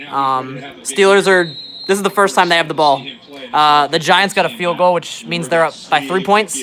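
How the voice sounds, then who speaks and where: A fairly high-pitched male voice with an animated tone, ordinary pitch variation and a moderate pace, set against noticeable background noise. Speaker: livestreamer and musician. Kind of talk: casual livestream chat while watching football.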